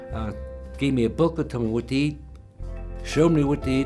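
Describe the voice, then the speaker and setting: In the background, music is playing. A man talks in an American accent. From Sarasota, Florida. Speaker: retired businessman, heart attack survivor. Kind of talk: patient testimonial interview. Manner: casual, conversational.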